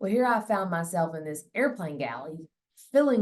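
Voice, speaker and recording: This voice has lively intonation and is in a Southern accent. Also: woman. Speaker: plane crash survivor. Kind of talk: interview testimony. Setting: interview.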